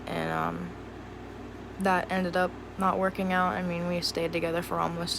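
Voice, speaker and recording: A woman speaks in an American accent at a moderate pace. Room echo can be heard. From US Mid-Atlantic, Cumberland, Maryland. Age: 20s. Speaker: vlogger. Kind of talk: casual personal vlog monologue.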